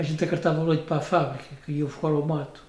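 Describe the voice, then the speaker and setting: Speaking at a very fast pace, a man is heard over noticeable background noise with audible room echo. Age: 90s (80s+). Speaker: retired farmer and former road worker. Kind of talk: casual interview, life story. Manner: halting.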